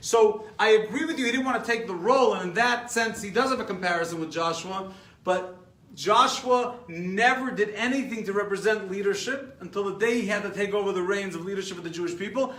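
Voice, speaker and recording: A man with an American accent talks fairly quickly in an animated tone, his pitch high but varying only in an ordinary way. Noticeable background noise and audible room echo surround his voice. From New York. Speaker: rabbi teaching a class. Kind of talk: lecture. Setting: live stream class.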